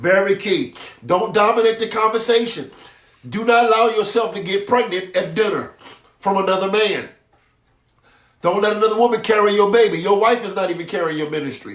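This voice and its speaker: A high-pitched man talks at a fairly quick pace with ordinary pitch variation, taking long, frequent pauses. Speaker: apostle / preacher. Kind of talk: sermon. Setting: livestream on Facebook and YouTube. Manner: fast.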